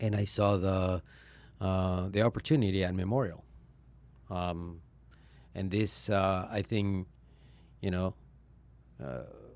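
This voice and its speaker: A man's very deep, low voice with a Spanish accent, at a fairly slow pace with long, frequent pauses, in a very clean recording with a silent background. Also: ordinary pitch variation. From Venezuela. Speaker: vascular surgeon. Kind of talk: interview conversation. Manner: hesitant, many fillers.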